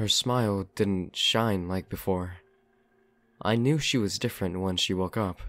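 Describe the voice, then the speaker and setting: A man's fairly low voice, an ordinary speaking voice at a fairly slow pace with ordinary pitch variation, in a very clean recording against a silent background. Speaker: narrator reading a horror story. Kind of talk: creepypasta horror narration, first-person story read aloud.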